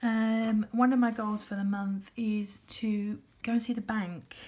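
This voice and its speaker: A woman with a British accent speaks at a fairly high pitch in monotone, flat intonation. Her voice is somewhat breathy with a dark, mellow tone. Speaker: budgeting vlogger. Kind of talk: casual vlog talk. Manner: hesitant, many fillers.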